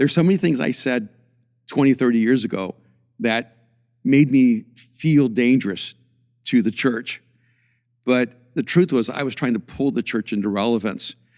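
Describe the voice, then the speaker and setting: A man speaks at a moderate pace with a medium pitch and ordinary pitch variation, leaving long, frequent pauses, in a dry, close recording with no echo. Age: 60s. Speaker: pastor and author. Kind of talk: casual chat.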